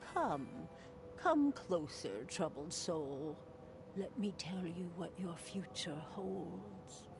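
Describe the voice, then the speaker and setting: A put-on character voice at middle pitch moves at a very slow pace. Loud background noise fills the recording. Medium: video game. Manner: mysterious, theatrical.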